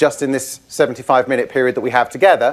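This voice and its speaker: Here a man talks with a British accent. His pace is fairly quick. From UK. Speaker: IT trainer. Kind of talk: conference presentation. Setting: stage with audience.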